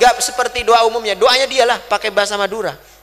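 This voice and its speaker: Over noticeable background noise, a man talks very fast in a high pitch with ordinary pitch variation. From West Kalimantan, Indonesia (Madurese family). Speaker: Islamic preacher. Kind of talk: sermon.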